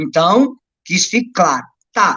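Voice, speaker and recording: A man at a moderate pace, with lively intonation. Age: 30s. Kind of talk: religious teaching on a live stream. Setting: live stream.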